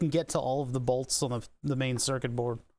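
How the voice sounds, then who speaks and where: Someone with a Philadelphia accent talks at a fairly quick pace in a very clean recording with a silent background. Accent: mild Philadelphia. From US Northeast, Philadelphia. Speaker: electronics repair streamer. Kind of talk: live stream teardown commentary. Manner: casual, thinking aloud.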